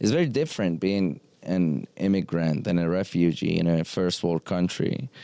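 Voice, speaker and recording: At a moderate pace and very even loudness, the voice shows ordinary pitch variation and a dark, mellow tone. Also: man, very deep, low pitch for a man. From Iran. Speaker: podcast host. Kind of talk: casual chat. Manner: halting.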